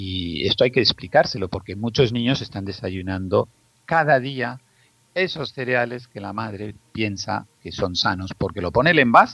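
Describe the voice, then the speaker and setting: Bright and sharp in tone, this voice keeps a moderate pace. Its loudness swings a lot. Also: man, medium pitch for a man, lively intonation. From Spain, Zaragoza. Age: 50s. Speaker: pediatrician. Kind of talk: interview.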